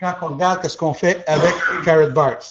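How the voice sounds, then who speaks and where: The speaker is a man. He talks in an English accent. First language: English (speaking French). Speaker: business opportunity presenter. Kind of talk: sales pitch. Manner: halting.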